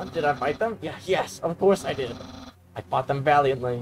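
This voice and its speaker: Putting on a raspy character voice, a man speaks at a fairly high pitch and a moderate pace with lively intonation. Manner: mock-heroic, theatrical.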